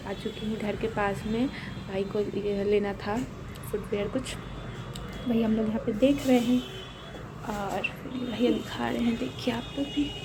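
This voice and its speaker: A woman's fairly slow speech amid noticeable background noise and some audible room reverberation. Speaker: vlogger. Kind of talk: casual vlog narration.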